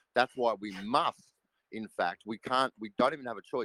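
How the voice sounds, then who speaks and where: A man with an Australian accent speaks at a medium pitch. The sound is dry and close with no echo. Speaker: crypto project team member. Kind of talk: live audio AMA chat.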